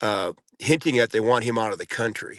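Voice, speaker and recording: The sound is dry and close with no echo as a man speaks at a medium pitch with ordinary pitch variation. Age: 60s. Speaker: former prisoner, podcast guest. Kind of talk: interview conversation. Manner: halting.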